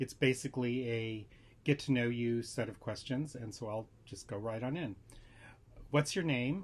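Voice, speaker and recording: Somewhat breathy, a man with an American accent talks at a moderate pace and medium pitch with ordinary pitch variation. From Southern California. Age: 60s. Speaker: tarot vlogger. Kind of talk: casual vlog talk. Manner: hesitant with fillers.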